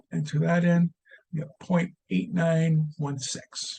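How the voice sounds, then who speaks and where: A somewhat breathy man with a fairly high voice, ordinary pitch variation and a very slow pace. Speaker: statistics instructor. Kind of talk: tutorial. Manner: halting.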